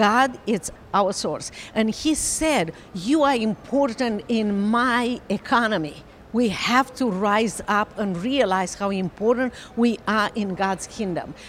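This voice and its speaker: At a very slow pace, a woman speaks in a fairly high pitch with ordinary variation, noticeable background noise audible throughout. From Romania. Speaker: author and attorney. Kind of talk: interview testimony. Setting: convention. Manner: halting.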